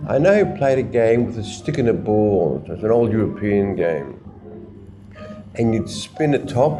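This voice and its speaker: Music plays in the background and audible room echo surrounds a man speaking at medium pitch. He keeps a moderate pace with very wide pitch swings. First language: Yiddish. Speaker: interviewee sharing family history. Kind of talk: oral history interview.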